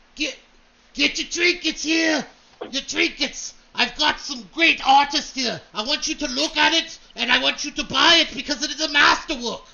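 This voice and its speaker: A man puts on a character voice, pitched extremely high. He speaks in a raised, projected voice. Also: moderate pace. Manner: loud, hawking his wares, boastful.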